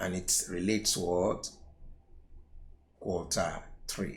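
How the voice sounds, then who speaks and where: A man speaks with audible room echo. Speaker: accounting tutor. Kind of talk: lecture.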